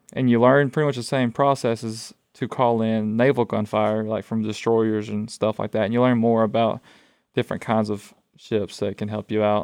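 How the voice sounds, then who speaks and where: A man's medium-pitched, monotone voice at a moderate pace, dry and close with no echo, over a quiet background. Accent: Alabama. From Alabama, US South. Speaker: student veteran, former Marine. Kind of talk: casual interview chat.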